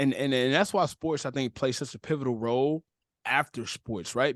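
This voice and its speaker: With an American accent, a man speaks at a fairly quick pace and medium pitch with ordinary pitch variation, the sound dry and close with no echo over a quiet background. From Cleveland, Ohio. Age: 20s. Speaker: content creator. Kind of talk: podcast interview. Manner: animated.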